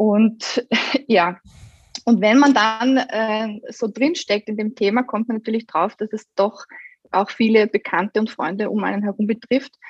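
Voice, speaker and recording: Somewhat breathy and fairly high-pitched, a woman speaks at a fairly slow pace with fairly even intonation, the sound dry and close with no echo. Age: 30s. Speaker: guest sharing fertility experience. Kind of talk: casual chat.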